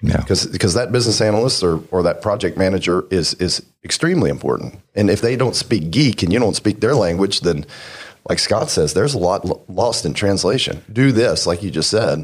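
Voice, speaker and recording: Lively in intonation and fairly quick, a man with a fairly low pitch talks in a plain, everyday voice with an American accent. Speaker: auto shop owner.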